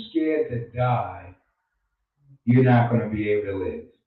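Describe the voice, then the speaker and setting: Audible room echo hangs on speech delivered at a fairly slow pace. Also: man. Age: 60s. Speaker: radio host, life coach. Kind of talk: radio talk show monologue.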